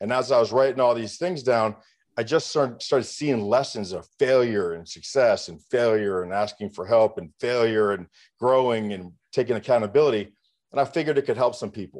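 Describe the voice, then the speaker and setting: A man with a plain, everyday voice speaks at a fairly quick pace against a quiet background. His pitch is medium, with ordinary pitch variation. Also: big swings in loudness. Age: 50s. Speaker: entrepreneur and business coach. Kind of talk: interview.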